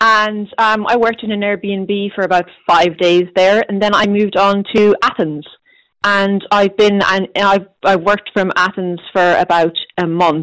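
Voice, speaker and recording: A woman's medium-pitched voice in a west of Ireland accent, fairly slow, with fairly even intonation. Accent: west of Ireland Irish. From Ireland, Galway. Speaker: careers reporter. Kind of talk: casual interview.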